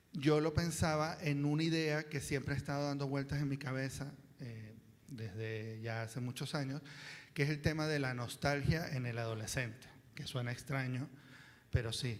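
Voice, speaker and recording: A man talks at a moderate pace, his pitch fairly high and his intonation fairly even. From Venezuela, Caracas. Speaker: writer, panel speaker. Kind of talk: panel talk. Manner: halting, many fillers.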